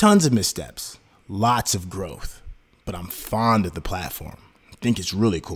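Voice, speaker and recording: A somewhat breathy man's voice at a fairly slow pace, with ordinary pitch variation. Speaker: podcast co-host. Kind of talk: casual chat.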